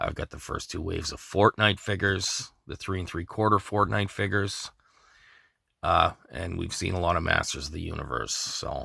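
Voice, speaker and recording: Vocal fry runs through a man's very deep, low pitch, his tone bright and sharp, at a moderate pace. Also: ordinary pitch variation, big swings in loudness, very clean recording, silent background. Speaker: toy collector vlogger. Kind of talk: casual Q&A vlog. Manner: choppy, starts and stops; unscripted, off the cuff.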